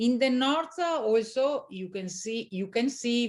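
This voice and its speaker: Against a quiet background, a woman with an Italian accent speaks at a very slow pace with ordinary pitch variation. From Italy, Veneto (Valpolicella near Verona). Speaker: winery owner. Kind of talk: interview. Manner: halting, many fillers.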